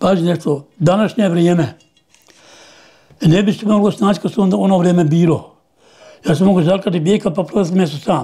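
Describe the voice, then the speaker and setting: A man's high-pitched voice with a dark, mellow tone, a fairly quick pace, long, frequent pauses and ordinary pitch variation, against a quiet background. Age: 80s+. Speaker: farmer and bull breeder. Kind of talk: interview answer. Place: home room. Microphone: lapel.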